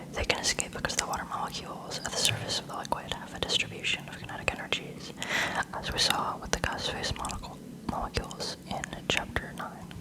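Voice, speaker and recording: A woman whispers fairly quickly, with noticeable background noise around her. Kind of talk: textbook reading aloud. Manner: soft-spoken.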